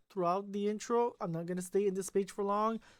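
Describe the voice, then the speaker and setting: A woman with a non-native accent talks at a fairly quick pace. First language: not English. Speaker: gaming YouTuber. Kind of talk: let's play commentary. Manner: halting.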